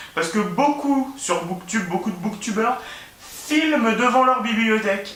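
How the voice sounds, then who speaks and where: Through noticeable background noise and audible room echo, a man with a high pitch talks at a moderate pace. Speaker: booktuber. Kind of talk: casual vlog monologue. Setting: at home, filming by his bed. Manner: hesitant, many fillers and repetitions.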